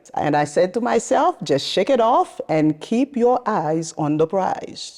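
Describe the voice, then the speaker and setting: A woman speaking at a fairly slow pace, with very wide pitch swings, over noticeable background noise. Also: medium pitch for a woman, very even loudness. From Haiti. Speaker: nonprofit founder. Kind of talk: interview.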